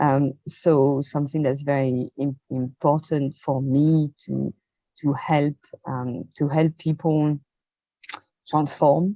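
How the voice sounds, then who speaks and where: A woman with a French accent speaks at a very slow pace in a very deep, low pitch, her intonation fairly even. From rural France. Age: 50s. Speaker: experience designer and coach. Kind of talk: interview testimony. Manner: hesitant, many fillers.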